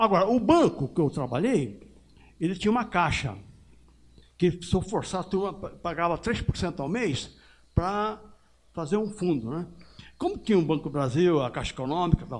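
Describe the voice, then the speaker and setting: A man speaks at a moderate pace with a high pitch and lively intonation. Long, frequent pauses break up his speech over a quiet background. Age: 80s+. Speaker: audience member, retired bank worker. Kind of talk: audience question at a talk.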